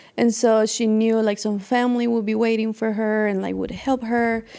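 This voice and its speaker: In a Spanish accent, a woman speaks at a fairly high pitch. Her tone is dark and mellow. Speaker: podcast host's wife, artist. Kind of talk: casual interview chat.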